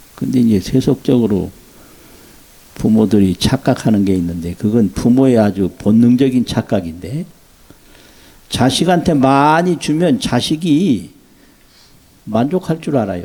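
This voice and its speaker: With a dark, mellow tone at medium pitch, a man speaks at a very slow pace with very wide pitch swings, very even loudness and long, frequent pauses. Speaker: Buddhist monk. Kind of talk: dharma talk.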